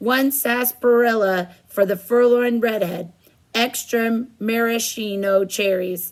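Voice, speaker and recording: A woman puts on a character voice that is fairly high, with fairly even intonation and a fairly slow pace. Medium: read story.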